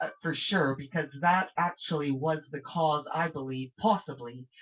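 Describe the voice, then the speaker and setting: Moderate pace and ordinary pitch variation, in a Canadian accent. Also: woman. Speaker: amateur vlogger and singer. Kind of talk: rambling webcam monologue. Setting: home webcam recording. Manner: loud.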